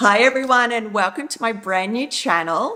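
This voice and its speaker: In an Australian accent, a woman talks at a moderate pace with a fairly high pitch and lively intonation. Her tone is enthusiastic, with noticeable background noise behind her. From Australia (Brisbane). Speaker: travel rewards YouTuber. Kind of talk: channel intro vlog.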